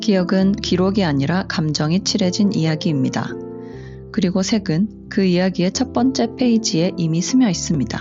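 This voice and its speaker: Loudness stays very even throughout as music plays in the background. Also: woman, fairly low pitch for a woman, moderate pace. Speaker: color psychology content creator. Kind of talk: educational explainer narration.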